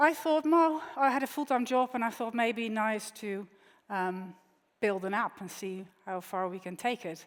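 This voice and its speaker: A woman speaks at a fairly high pitch with a Dutch accent. The recording is very clean, with a silent background. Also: lively intonation, big swings in loudness. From Netherlands. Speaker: tech entrepreneur. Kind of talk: keynote speech. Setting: conference stage with audience. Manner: conversational with frequent fillers.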